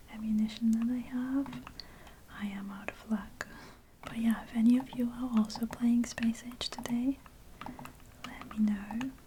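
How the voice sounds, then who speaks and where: Over noticeable background noise, a soft-spoken voice whispers in a relaxed tone at a fairly slow pace, with long, frequent pauses. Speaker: ASMR gaming content creator. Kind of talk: soft-spoken gameplay commentary. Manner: soft-spoken, whispery, relaxed.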